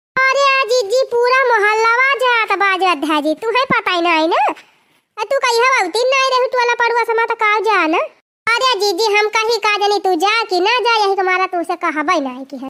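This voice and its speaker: A squeaky, cartoonish character voice is heard. It moves at a moderate pace. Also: woman, extremely high pitch for a woman. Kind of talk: village comedy cartoon.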